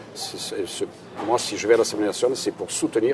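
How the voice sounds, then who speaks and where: A man talks over noticeable background noise. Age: 60s. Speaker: local politician, candidate. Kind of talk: political interview. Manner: hesitant, repeating words.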